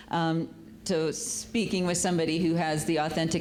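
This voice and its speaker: Amid noticeable background noise and audible room echo, a woman with a very deep, low pitch talks very fast, with fairly even intonation. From South Dakota. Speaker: nonprofit executive director. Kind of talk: panel talk.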